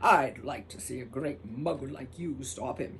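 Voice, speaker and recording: Putting on a character voice, a woman growls in a booming, very deep, low register at a moderate pace over clear background noise. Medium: read story. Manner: gruff, folksy.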